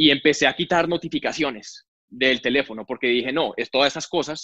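Against a quiet background, the voice has a bright, sharp tone and fairly even intonation. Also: man, dry, close sound with no echo. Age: 30s. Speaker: engineer and entrepreneur. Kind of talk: interview conversation.

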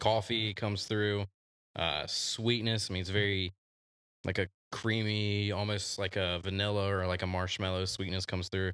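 A man with an American accent, fairly low in pitch, monotone and flat, at a moderate pace. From Virginia, US. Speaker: podcast host. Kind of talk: casual chat.

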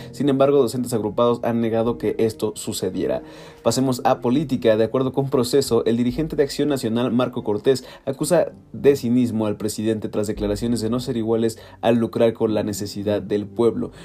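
Speaking in a Mexican accent, a man keeps a medium pitch and fairly even intonation at a fairly quick pace. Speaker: news podcaster. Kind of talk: news reading; casual chat.

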